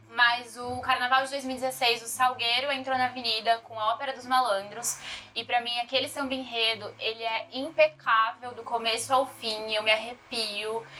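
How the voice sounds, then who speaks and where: Over noticeable background noise, a woman talks at a moderate pace in a high pitch with hardly any pauses, her intonation monotone and flat while her loudness swings widely. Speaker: podcast co-host. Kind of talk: casual chat.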